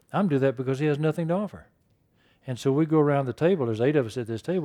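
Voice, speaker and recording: A man speaks with a fairly high pitch and ordinary pitch variation. His tone is dark and mellow. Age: 70s. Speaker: workshop speaker on workplace ministry. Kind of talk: workshop talk. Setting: workshop room with audience. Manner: halting, many fillers.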